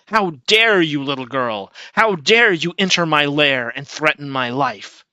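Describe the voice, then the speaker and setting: A man performs a put-on character voice at a fairly high pitch, hissing in a menacing, furious tone. He speaks at a fairly slow pace. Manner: hissing, menacing, furious.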